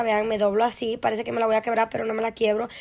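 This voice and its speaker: A woman speaks in an animated tone at a high pitch. The recording is very clean, with a silent background. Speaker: fitness vlogger. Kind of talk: casual vlog workout guide, chatty self-narration while exercising. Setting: outdoors and home, filmed on her own. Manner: animated, friendly, breathless, talking to viewers.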